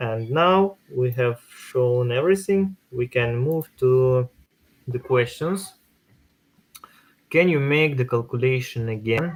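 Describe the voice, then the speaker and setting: A man with a non-native accent speaks at a very slow pace with ordinary pitch variation. Long, frequent pauses break up his speech. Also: medium pitch for a man. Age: 30s. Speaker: crypto workshop host. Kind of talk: online workshop tutorial. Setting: live online stream. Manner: halting, many hesitations.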